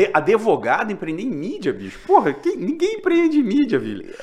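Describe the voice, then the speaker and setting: Noticeable background noise is present. Over it, a man talks moderately fast. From Minas Gerais, Brazil. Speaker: podcast host. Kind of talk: casual interview chat.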